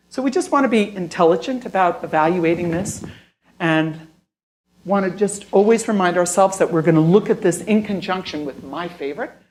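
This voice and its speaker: A woman speaks at a fairly quick pace, her medium pitch moving with ordinary variation. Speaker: critical care nurse specialist. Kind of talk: lecture. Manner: fast.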